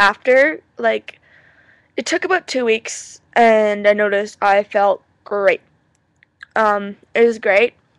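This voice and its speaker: Her sound dry and close with no echo, a woman with a fairly high pitch talks at a very slow pace, taking long, frequent pauses. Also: ordinary pitch variation. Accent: Canadian. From Canada. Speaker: vlogger. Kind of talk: personal video message. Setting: webcam recording. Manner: halting, many fillers.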